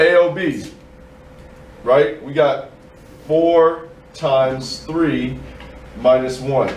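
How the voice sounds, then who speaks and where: Amid noticeable background noise and audible room echo, a man speaks very slowly with long, frequent pauses. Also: fairly high pitch for a man, fairly even intonation. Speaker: math teacher. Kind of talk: classroom lesson. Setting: classroom with students.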